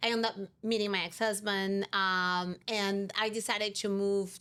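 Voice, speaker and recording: A woman with a Brazilian Portuguese accent, medium pitch and ordinary pitch variation, on a very clean recording with a silent background. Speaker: insurance company CEO. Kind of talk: interview.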